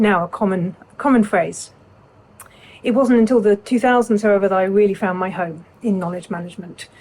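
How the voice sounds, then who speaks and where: Here a woman talks in an English accent at a fairly quick pace. Her pitch is medium, with ordinary pitch variation. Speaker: legal knowledge management consultant. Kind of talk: prepared self-introduction talk.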